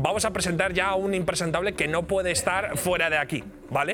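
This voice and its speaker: The speaker has an animated tone and a fairly quick pace. Noticeable background noise runs underneath. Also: man. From Basque Country. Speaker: comedy show host. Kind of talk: comedic talk show hosting.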